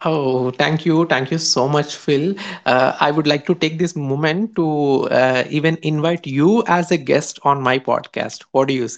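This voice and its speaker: With an Indian accent, a man talks at a fairly slow pace with hardly any pauses, his pitch fairly high and ordinarily varied. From Hyderabad, India. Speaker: podcaster. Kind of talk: interview answers. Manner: halting, filler-heavy.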